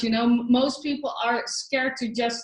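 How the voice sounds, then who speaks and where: Speaking with a non-native accent, a woman uses a high pitch with ordinary pitch variation. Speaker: spiritual money coach. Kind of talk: online training webinar. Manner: halting, many fillers.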